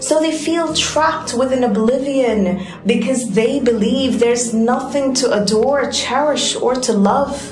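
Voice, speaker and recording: A woman's high-pitched voice at a fairly slow pace, hardly any pauses and very even loudness, with music in the background. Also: ordinary pitch variation. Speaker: poet. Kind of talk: spoken word poetry performance.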